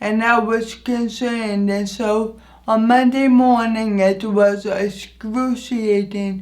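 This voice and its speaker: With audible room echo, a woman speaks very slowly in a fairly high-pitched, flat monotone. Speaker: vlogger. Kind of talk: personal storytelling vlog. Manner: halting, some repeated words.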